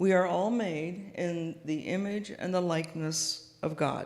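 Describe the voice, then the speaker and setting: A soft-spoken woman at a fairly low pitch, with ordinary pitch variation and audible room echo. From US Pacific Northwest, Seattle. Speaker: guest minister. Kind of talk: sermon. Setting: church with audience, PA system. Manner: halting, with many fillers.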